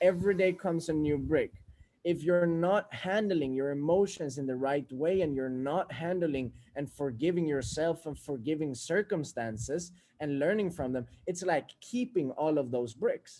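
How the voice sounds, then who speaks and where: A man with a Swedish accent talks at a moderate pace in a dark, mellow tone, his fairly high voice showing ordinary pitch variation. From Sweden. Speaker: self-help speaker. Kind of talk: motivational monologue.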